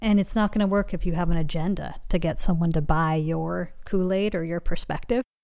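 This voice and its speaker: At a moderate pace, a woman talks with a West Coast accent and ordinary pitch variation in a very clean recording with a silent background. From Los Angeles, US. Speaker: meditation teacher and author. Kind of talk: interview conversation.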